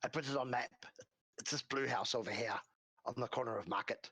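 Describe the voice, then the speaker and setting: A man puts on a raspy character voice at a medium pitch. He talks at a very fast pace. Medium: actual play. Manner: broken, clipped grammar.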